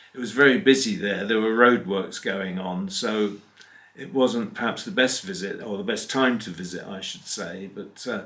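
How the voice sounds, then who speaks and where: In an English accent, a man speaks at a moderate pace and medium pitch. His pitch variation is ordinary, while his loudness swings widely. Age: 70s. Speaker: narrowboat vlogger. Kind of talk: casual chat.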